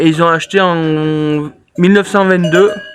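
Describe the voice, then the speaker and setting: A man's high-pitched voice stays monotone and flat over noticeable background noise. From Drôme, France. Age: 30s. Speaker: goat farmer. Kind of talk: casual Q&A chat.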